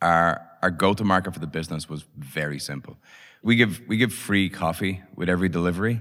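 Here is a man with a Dublin accent and a very deep, low pitch. He talks at a fairly quick pace with lively intonation. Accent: Irish (Dublin). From Ireland, Dublin. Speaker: startup founder and CEO. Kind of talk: interview.

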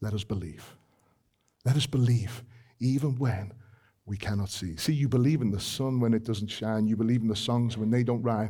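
A man with a British accent speaks at a moderate pace and medium pitch, his tone dark, mellow and somewhat breathy, his intonation fairly even, with audible room echo. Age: 40s. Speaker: preacher. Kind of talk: sermon.

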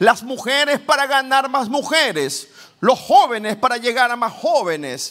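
An animated man raises and projects his voice at an extremely high pitch with lively intonation. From Ecuador, Guayaquil. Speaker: pastor. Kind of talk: sermon.

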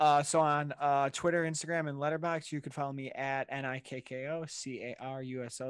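A man with an ordinary speaking voice talks at a fairly quick pace in a fairly high pitch, his intonation fairly even, on a very clean recording with a silent background. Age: 20s. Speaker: podcast host. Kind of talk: casual chat.

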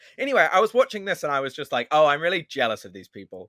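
In a New Zealand accent, a man speaks with a bright, sharp tone and very wide pitch swings, recorded very cleanly with a silent background and a dry, close sound with no echo. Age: 20s. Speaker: comedian. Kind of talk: casual chat.

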